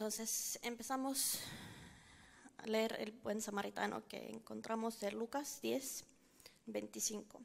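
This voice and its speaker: The woman speaks very slowly, with long, frequent pauses breaking up her words. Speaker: church member giving a teaching. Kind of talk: bible teaching. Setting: church service with audience.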